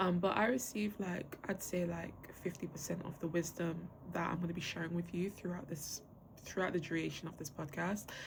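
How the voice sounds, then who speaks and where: A somewhat breathy voice moves at a fairly quick pace with fairly even intonation. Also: woman, fairly low pitch for a woman. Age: 20s. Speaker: podcast host. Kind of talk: casual monologue. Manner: casual, filler-heavy.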